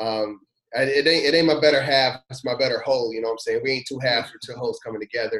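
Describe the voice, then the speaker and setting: A man's medium-pitched voice with an American accent, very fast pace, fairly even intonation and big swings in loudness. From US South, Louisville, Kentucky. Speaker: youth pastor. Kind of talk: personal testimony in casual interview.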